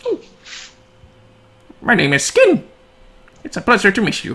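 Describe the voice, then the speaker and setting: Using a put-on character voice at a fairly high pitch, the speaker moves at a moderate pace. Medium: actual play. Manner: polite, gentle.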